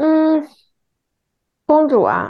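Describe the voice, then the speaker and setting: This woman's dark, mellow tone comes through as she talks at a very slow pace. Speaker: podcast co-host. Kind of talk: casual chat.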